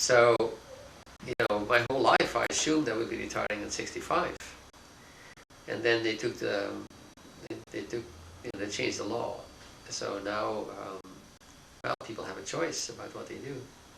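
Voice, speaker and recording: The speech moves at a moderate pace with long, frequent pauses and big swings in loudness. Noticeable background noise and audible room echo fill the recording. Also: man. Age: 60s. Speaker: philosophy professor. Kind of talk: interview. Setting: office. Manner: halting, many fillers.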